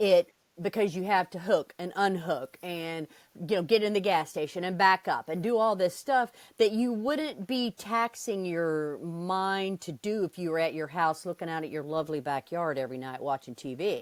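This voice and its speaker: In a very clean recording with a silent background and a dry, close sound with no echo, a woman with an ordinary speaking voice talks at a moderate pace with a fairly low pitch and lively intonation. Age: 60s. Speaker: RV traveler. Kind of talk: interview.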